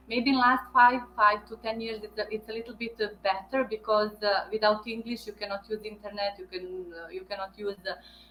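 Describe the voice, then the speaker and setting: A woman's fairly high voice in a Bosnian accent, fairly quick with hardly any pauses and fairly even intonation. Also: big swings in loudness. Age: 30s. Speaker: veterinarian. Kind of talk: interview. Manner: halting.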